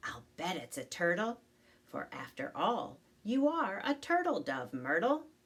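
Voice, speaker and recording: A female-sounding voice puts on a character at a fairly high pitch, moving fairly slowly with very wide pitch swings. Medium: read story. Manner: blurting, brash.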